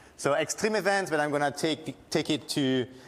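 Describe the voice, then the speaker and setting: With a French accent, a man speaks at a moderate pace using ordinary pitch variation. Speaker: university lecturer and disaster researcher. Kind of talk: lecture. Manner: halting.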